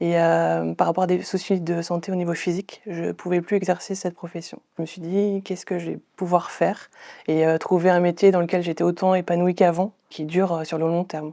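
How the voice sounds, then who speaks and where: A dark, mellow tone at a moderate pace, monotone and flat in intonation, with big swings in loudness and hardly any pauses. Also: woman, fairly low pitch for a woman. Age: 30s. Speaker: medical information technician, former chef. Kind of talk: interview testimony. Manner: hesitant, frequent fillers.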